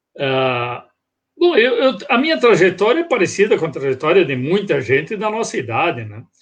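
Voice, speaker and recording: Against a quiet background, a man with a high pitch and very wide pitch swings talks at a moderate pace. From Brazil, Rio Grande do Sul (Casca, Serra Gaúcha). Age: 60s. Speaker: guest on regional culture show. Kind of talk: interview, life story. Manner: halting, many fillers.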